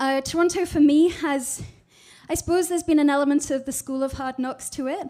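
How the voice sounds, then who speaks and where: With a British accent, the speaker keeps a moderate pace and fairly even intonation. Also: woman. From Scotland. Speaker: digital strategist. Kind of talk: presentation talk. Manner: hesitant, many fillers.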